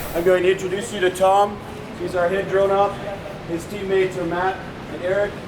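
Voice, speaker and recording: A man talks at a fairly quick pace in a high pitch, with monotone, flat intonation and long, frequent pauses. Noticeable background noise and audible room echo fill the recording. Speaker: film crew member. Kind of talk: safety briefing.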